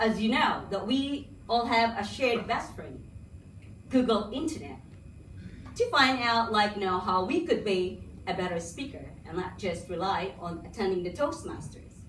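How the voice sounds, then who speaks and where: There is audible room echo around a woman speaking at a moderate pace. Her pitch is fairly high and her intonation lively. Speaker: Toastmasters club member. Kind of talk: public speech.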